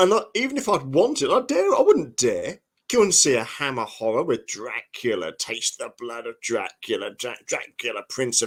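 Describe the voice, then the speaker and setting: With a Norfolk accent, a man speaks at a moderate pace on a very clean recording with a silent background. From England, Norfolk. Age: 50s. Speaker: historian and author. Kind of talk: podcast interview. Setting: live podcast. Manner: animated.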